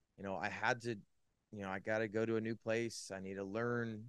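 At a moderate pace, a man with a Californian accent speaks in a fairly low pitch and a monotone, flat intonation. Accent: Californian American. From Northern California. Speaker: sports and faith commentator. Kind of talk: testimony.

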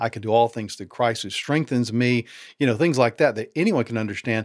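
A man has an unremarkable speaking voice. It sits at a medium pitch with ordinary pitch variation. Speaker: author and former pastor. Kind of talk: interview conversation.

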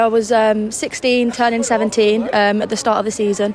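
Fairly high female voice, noticeable background noise behind it. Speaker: women's football player. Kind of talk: interview.

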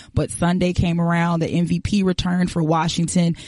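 A woman's fairly low, dark, mellow voice with monotone, flat intonation at a moderate pace. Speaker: podcast producer and moderator. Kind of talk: casual chat.

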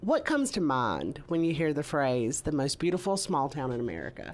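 Lively in intonation, a woman's very deep, low voice carries vocal fry. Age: 30s. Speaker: true crime podcast host. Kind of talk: casual chat, case narration.

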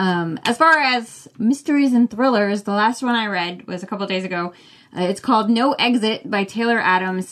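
A normal speaking voice from a woman with an American accent, fairly high-pitched, with ordinary pitch variation at a moderate pace. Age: 40s. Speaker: book podcaster, fill-in co-host. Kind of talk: casual chat.

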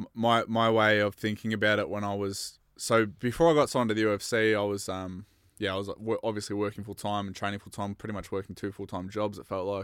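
Talking at a very fast pace with hardly any pauses, a man with an Australian accent keeps a fairly low pitch and a monotone, flat intonation on a very clean recording with a silent background. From Australia, Bendigo, Victoria. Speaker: mixed martial arts fighter. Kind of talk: casual chat.

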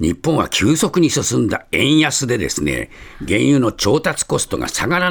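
Against noticeable background noise, a man talks at a fairly high pitch with very wide pitch swings. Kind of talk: newsreading. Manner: conversational, chatty newspaper digest with casual asides; fluent, explanatory, frequent fillers.

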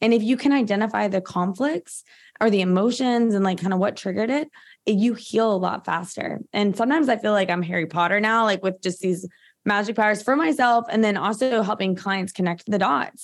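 A woman's ordinary speaking voice at a medium pitch and a fairly quick pace, with very even loudness, on a very clean recording with a silent background. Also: ordinary pitch variation. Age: 30s. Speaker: functional medicine practitioner. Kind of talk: interview. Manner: casual, filler-heavy.

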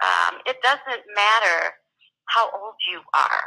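A woman's very slow speech with vocal fry. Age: 60s. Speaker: business coach. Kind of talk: interview.

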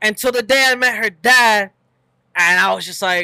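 A man's high-pitched, raised and projected voice, bright and sharp in tone, with a dry, close sound and no echo. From US, Mexican-American family. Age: 20s. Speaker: podcast co-host. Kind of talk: casual chat.

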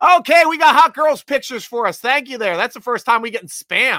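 Very fast and animated, a man projects a raised voice with a bright, sharp tone on a very clean, dry, close recording with a silent background and no echo. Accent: American. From Pennsylvania (Williamsport). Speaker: NFL fan podcast host. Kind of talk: casual live-stream sports talk. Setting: live video stream with chat.

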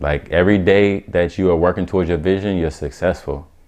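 This man's voice is very deep and low. His pitch varies in an ordinary way. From US Midwest (Omaha, Nebraska) and Atlanta. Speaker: photographer and entrepreneur. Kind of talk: casual interview.

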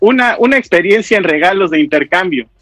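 The man's voice has a bright, sharp tone and very wide pitch swings, recorded with a dry, close sound and no echo. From Oaxaca, Mexico. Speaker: caller. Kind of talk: casual chat.

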